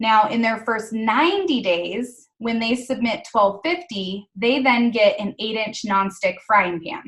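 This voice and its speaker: A woman speaks fairly slowly at a fairly high pitch, with ordinary pitch variation. She hardly pauses at all. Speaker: direct sales team leader. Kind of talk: team meeting presentation.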